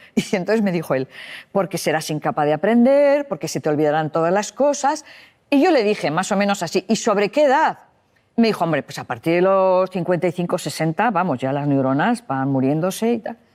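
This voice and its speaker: At a medium pitch, a woman talks at a fairly quick pace with very wide pitch swings, recorded very cleanly against a silent background. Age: 60s. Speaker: psychologist. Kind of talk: interview.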